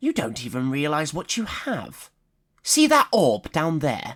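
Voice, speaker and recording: A put-on character voice swings very widely in pitch on a very clean recording with a silent background. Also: man, fairly high pitch for a man, fairly slow pace. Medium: read story. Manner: cocky, eager.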